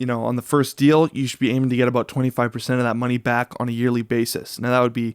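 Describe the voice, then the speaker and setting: A man's medium-pitched voice, very fast and monotone with flat intonation, in a dry, close sound with no echo. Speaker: real estate broker and YouTuber. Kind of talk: casual explainer video. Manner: filler-heavy, lots of uh.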